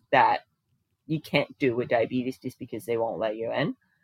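This is a woman speaking with an American accent. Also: dry, close sound with no echo. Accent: sounds American. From Denmark. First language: Danish. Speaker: diabetes coach and personal trainer. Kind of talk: casual interview chat.

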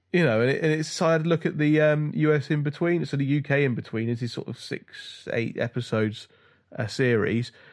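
A man with a British accent, fairly high in pitch, with ordinary pitch variation at a fairly quick pace, on a very clean recording with a silent background. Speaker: podcast co-host. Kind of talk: casual chat.

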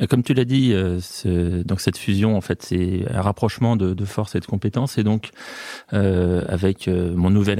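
The man's voice has a dark, mellow tone, fairly low pitch and fairly even intonation. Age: 50s. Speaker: company founder. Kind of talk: interview.

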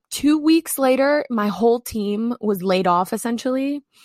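The recording is very clean, with a silent background and a dry, close sound with no echo. A woman speaks with ordinary pitch variation. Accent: American. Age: 20s. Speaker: content strategist and former journalist. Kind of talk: interview.

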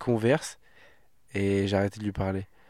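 A man talks at a moderate pace, captured in a very clean recording against a silent background. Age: 20s. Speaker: stand-up comedian. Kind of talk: casual chat.

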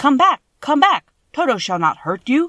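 A loud, put-on character voice with very wide pitch swings at a moderate pace. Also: female-sounding voice. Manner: calling out loudly, reassuring.

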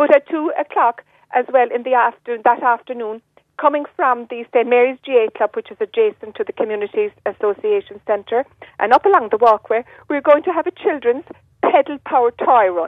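A woman with a West Cork accent, high in pitch, lively in intonation, at a fairly quick pace. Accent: Irish (West Cork). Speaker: community volunteer. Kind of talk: radio interview.

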